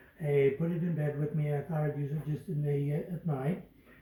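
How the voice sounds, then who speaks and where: Over noticeable background noise, a man speaks at a fairly high pitch with monotone, flat intonation. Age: 70s. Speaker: customer giving testimonial. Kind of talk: testimony. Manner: halting.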